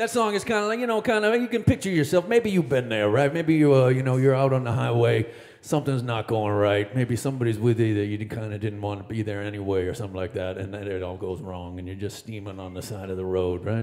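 His pace is very fast. He speaks with ordinary pitch variation. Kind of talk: between-song stage banter. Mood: joking, playful. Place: stage. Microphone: studio mic.

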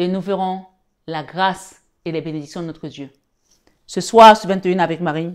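A woman speaks at a moderate pace in a warm tone, her pitch fairly low and her intonation fairly even. She leaves long, frequent pauses against a quiet background. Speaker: spiritual guide and tarot reader. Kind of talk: sermon-like preaching with prayer and exhortation. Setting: online video, live-stream. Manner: fervent, exhortative, repeating phrases for emphasis; warm, intimate, addressing viewers as 'belles âmes'. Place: home room.

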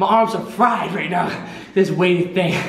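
A man's high voice with fairly even intonation and audible room echo. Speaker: fitness coach. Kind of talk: workout instruction. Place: gym.

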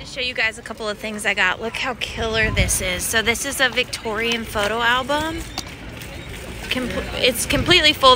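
Over noticeable background noise, a woman speaks at a moderate pace with ordinary pitch variation, the sound dry with no echo. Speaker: vintage reseller vlogger. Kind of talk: casual vlog chat. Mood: excited, delighted. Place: market. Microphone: phone near.

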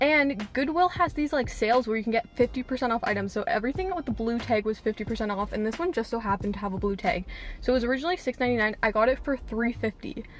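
A woman speaks very fast with lively intonation and hardly any pauses. Light background noise sits under a dry sound with no echo. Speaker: thrift vlogger. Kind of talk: casual vlog chat. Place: car. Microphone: phone near.

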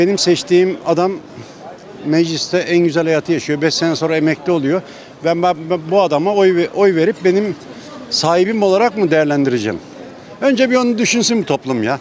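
A man with a high pitch talks at a fairly quick pace with lively intonation and very even loudness. The sound is dry with no echo, and there is light background noise. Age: 60s. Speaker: street interviewee; interviewee. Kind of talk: street interview. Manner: sarcastic. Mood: critical, animated political opinion. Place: street. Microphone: handheld.

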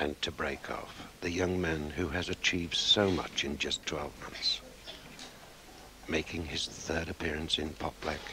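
A man speaks with a very deep, low pitch and monotone, flat intonation. Noticeable background noise runs behind him. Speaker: snooker commentator. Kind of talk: sports commentary. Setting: broadcast archive, early 1980s. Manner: soft-spoken.

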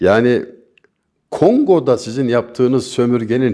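A man with a dark, mellow tone talks at a fairly slow pace. His intonation is lively, and the background is quiet. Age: 60s. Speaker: poet and commentator. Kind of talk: interview.

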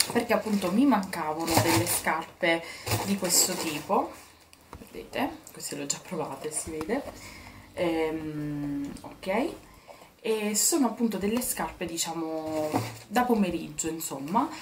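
A woman with a fairly low voice speaks at a fairly slow pace with long, frequent pauses over noticeable background noise. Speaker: beauty and lifestyle vlogger; lifestyle vlogger. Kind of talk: casual haul video talking to viewers. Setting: in her bedroom. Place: home room. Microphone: phone near.

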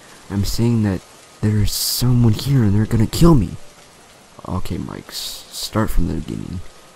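A man's fairly low voice, panicked in tone, with ordinary pitch variation, long and frequent pauses, and noticeable background noise. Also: moderate pace. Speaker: creepypasta narrator and YouTuber. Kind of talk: ghost story telling, dramatic reading with character voices for Mike and Ronnie. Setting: online video, recorded narration. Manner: tense, hushed and panicked, with halting stammers that build suspense.

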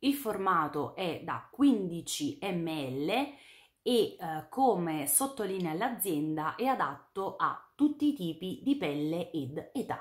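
At a very slow pace, a woman speaks in a medium pitch with very wide pitch swings. The background is quiet. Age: 30s. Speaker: beauty YouTuber. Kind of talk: product review vlog. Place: home room.

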